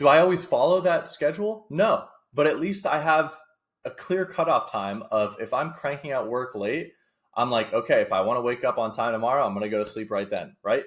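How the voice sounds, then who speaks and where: An energetic man at a fairly quick pace, in a very clean recording with a silent background. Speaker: fitness content creator. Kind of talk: tutorial. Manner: fast; energetic, conversational.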